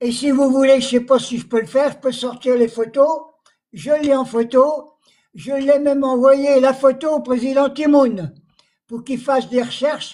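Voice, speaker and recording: This man's voice has a dark, mellow tone and an extremely high pitch, with fairly even intonation at a fairly slow pace. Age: 80s+. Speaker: Algerian War veteran. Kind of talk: testimony. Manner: halting.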